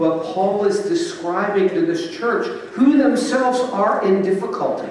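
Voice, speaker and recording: Pitch swings very widely at a fairly slow pace. Strong room echo and light background noise surround the speech. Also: man, high pitch for a man. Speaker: Episcopal bishop. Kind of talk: sermon delivered to a congregation. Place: church.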